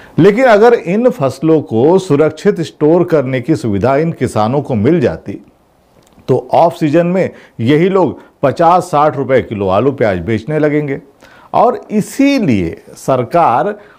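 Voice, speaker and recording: Against a quiet background, a man with a dark, mellow tone speaks at a very slow pace with very wide pitch swings. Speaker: political commentator. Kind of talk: commentary. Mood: sarcastic, critical. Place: studio.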